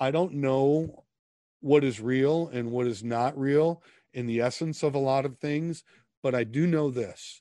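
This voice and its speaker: Speaking with an Upper Midwest accent, a man with a fairly high pitch and a dark, mellow tone talks at a fairly slow pace with ordinary pitch variation. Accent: Upper Midwest American. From US Midwest (Minnesota). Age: 50s. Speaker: author and ministry leader. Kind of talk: casual interview chat.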